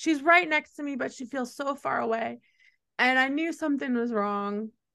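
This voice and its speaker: A woman with a high pitch and a bright, sharp tone speaks in a raised, projected voice with ordinary pitch variation. The background is quiet. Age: 40s. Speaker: music journalist. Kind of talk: casual chat.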